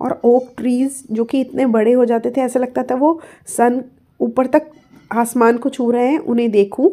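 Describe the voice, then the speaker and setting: Her voice has a high pitch and a dark, mellow tone. This woman's intonation stays fairly even. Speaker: English tutor. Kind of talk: lecture.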